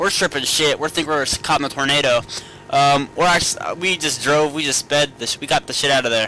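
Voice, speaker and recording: A man with an American accent speaks at a fairly high pitch. His intonation is fairly even, and there is noticeable background noise. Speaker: vlogger. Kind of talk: casual vlog monologue. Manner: halting, stumbling over words.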